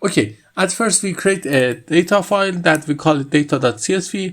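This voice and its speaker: A very clean recording with a silent background, at a moderate pace. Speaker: tech tutorial creator. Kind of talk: screen-recorded tutorial.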